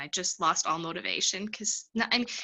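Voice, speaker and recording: At a moderate pace, a woman speaks in a medium pitch with lively intonation. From Canada. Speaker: stand-up comedian and actor. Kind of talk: interview answer. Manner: casual, hesitant.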